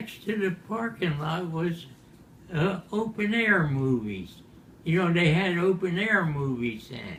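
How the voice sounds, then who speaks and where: A man with an American accent and a high pitch speaks at a fairly slow pace with lively intonation over noticeable background noise. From Baltimore, Maryland. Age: 80s+. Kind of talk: interview answer. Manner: slow, hesitant.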